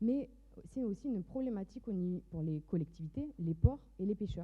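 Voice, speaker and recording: A woman speaks at a fairly quick pace in a slight southern French accent. Her voice is somewhat breathy, with lively intonation. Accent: slight southern French Mediterranean. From southern France, Mediterranean coast. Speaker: entrepreneur, fashion designer. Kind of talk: startup pitch.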